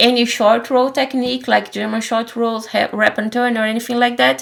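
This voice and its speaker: A woman speaks with a high pitch at a moderate pace. Noticeable background noise runs behind her. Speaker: knitting podcaster. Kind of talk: casual chat.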